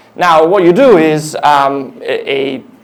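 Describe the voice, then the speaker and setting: A man's voice with audible room echo. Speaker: engineering director giving a tech talk. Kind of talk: conference talk. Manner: fast; halting, many fillers.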